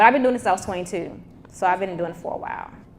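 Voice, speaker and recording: With a Mississippi accent, the voice shows ordinary pitch variation. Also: woman. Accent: Southern US, Mississippi. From US South, Mississippi (small town near Jackson). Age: 30s. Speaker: tech entrepreneur and speaker. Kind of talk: motivational talk with Q&A. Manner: casual, conversational.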